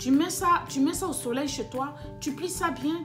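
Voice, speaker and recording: A woman speaks with audible room echo and music in the background. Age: 40s. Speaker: business YouTuber. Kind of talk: casual advice vlog. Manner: halting with fillers.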